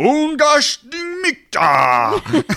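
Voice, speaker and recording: Using a put-on character voice, the man pitches it extremely high. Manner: gibberish incantation.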